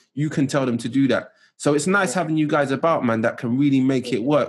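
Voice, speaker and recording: A man with a London accent speaks at a fairly quick pace. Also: very clean recording, silent background. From West London, England. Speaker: podcast host. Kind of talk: interview.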